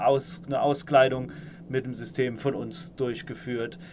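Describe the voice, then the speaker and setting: This man's voice sits at a fairly high pitch. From Saarland, Germany. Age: 30s. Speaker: engineering manager. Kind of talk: interview. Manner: hesitant, many fillers.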